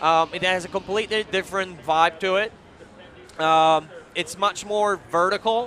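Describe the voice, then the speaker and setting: With a raised, projected voice at a high pitch, a man speaks at a moderate pace and keeps his intonation fairly even. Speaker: video game designer. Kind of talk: live demo interview. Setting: live stage at a trade show.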